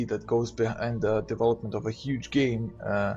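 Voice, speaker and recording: Speaking with a non-native accent, a man is somewhat breathy, with a medium pitch, a moderate pace and fairly even intonation. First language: not English. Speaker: gaming youtuber. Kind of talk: casual monologue rant. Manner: halting, many fillers.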